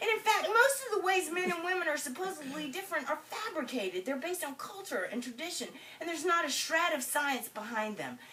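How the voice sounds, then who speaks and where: Raised and projected, the voice has a bright, sharp tone, very wide pitch swings and a fairly quick pace. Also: woman. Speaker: storyteller. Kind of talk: storytelling performance.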